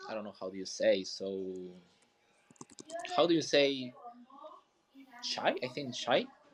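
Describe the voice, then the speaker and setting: A man speaks with a Peruvian accent. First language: Spanish. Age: 20s. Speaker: community manager. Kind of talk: casual chat. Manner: halting.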